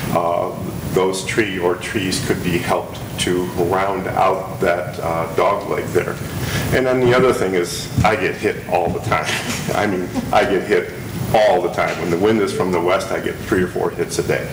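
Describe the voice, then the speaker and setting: Against noticeable background noise, a man speaks with a very deep, low pitch and fairly even intonation. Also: moderate pace. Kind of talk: public comment at a meeting. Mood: polite, earnest request. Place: meeting room. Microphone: podium.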